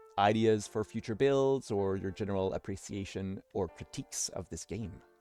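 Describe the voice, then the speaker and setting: Over music in the background, a man speaks at a moderate pace with a fairly low pitch and ordinary pitch variation. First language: French. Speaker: tabletop gaming YouTuber. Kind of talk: let's play commentary. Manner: hesitant, many fillers.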